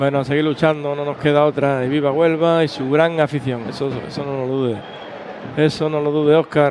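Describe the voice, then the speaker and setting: A man talks at a fairly quick pace in a fairly high pitch, his intonation monotone and flat, with noticeable background noise behind him. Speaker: radio co-commentator. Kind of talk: casual football co-commentary. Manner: chatty, halting with repeated words.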